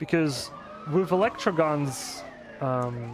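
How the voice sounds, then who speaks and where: A man with a non-native accent speaks with lively intonation at a fairly high pitch. Noticeable background noise is present. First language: not English. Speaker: speedrunner. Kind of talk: live gameplay commentary. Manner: hesitant, many fillers.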